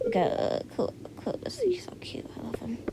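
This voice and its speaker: Noticeable background noise surrounds a woman's voice. Her pitch swings very widely. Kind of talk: casual game commentary.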